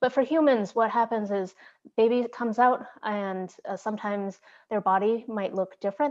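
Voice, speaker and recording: A woman speaks at a fairly quick pace with ordinary pitch variation over a quiet background. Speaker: diversity trainer. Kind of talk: training workshop. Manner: fast; hesitant with fillers.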